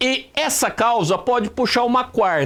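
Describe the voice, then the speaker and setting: An extremely high-pitched man with a São Paulo interior accent, at a moderate pace and with ordinary pitch variation. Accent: caipira (interior São Paulo). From interior of São Paulo state, Brazil. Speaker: writing teacher. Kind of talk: online lesson. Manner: conversational.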